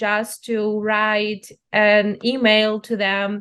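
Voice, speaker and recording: The background is quiet. A woman with a Ukrainian accent speaks at a very slow pace. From central-east Ukraine. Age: young. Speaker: journalist. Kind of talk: interview. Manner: halting, many fillers.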